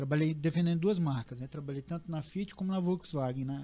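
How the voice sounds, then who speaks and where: A man with a somewhat breathy voice and a dark, mellow tone speaks fairly quickly at a fairly high pitch, his intonation fairly even. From Paraná, Brazil. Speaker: real estate agency owner. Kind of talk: casual chat.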